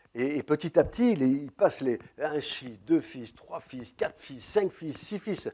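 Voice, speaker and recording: A man's fairly high voice in a dark, mellow tone, very slow with hardly any pauses, big swings in loudness, and a dry, close sound with no echo. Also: lively intonation. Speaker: preacher. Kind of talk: sermon.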